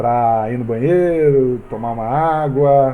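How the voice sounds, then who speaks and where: With a dark, mellow tone and medium pitch, a man talks at a very slow pace with ordinary pitch variation as room echo is audible. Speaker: Bible study teacher. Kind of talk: Bible study lesson over video call.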